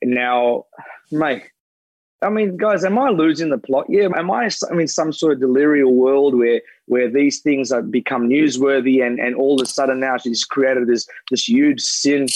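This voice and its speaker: A man speaks at a moderate pace with an Australian accent. His pitch varies in an ordinary way and his loudness stays very even. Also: fairly high pitch for a man. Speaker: former Olympic athlete and pundit. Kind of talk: casual chat. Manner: animated.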